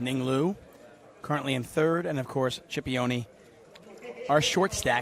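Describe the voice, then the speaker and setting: Against noticeable background noise, a man talks at a moderate pace with a fairly high pitch. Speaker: poker commentator. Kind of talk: live commentary. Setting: commentary booth at live poker event. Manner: loud.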